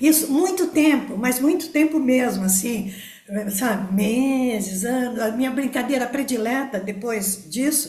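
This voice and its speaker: Over noticeable background noise and audible room echo, a woman speaks at a high pitch and a fairly slow pace. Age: 70s. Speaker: participant in a study group. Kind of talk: testimony. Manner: halting, many fillers.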